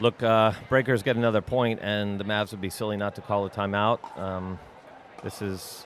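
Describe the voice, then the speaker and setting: A man talks fairly slowly. Background noise is noticeable throughout. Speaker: pickleball commentator and coach. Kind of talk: live commentary. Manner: animated.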